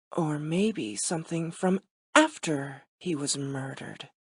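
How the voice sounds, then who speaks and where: In a put-on character voice, someone speaks at a middle pitch and a fairly slow pace, sounding raspy. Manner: spooky.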